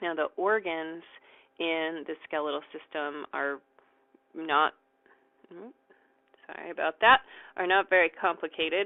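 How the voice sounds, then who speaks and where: With long, frequent pauses, a woman speaks at a fairly slow pace in a fairly low pitch with ordinary pitch variation. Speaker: college anatomy instructor. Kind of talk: recorded lecture. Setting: recorded video lecture while writing. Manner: hesitant, frequent ums.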